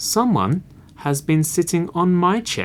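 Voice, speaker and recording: A woman's put-on character voice, soft-spoken and breathy, fairly low in pitch and at a fairly slow pace. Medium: read story.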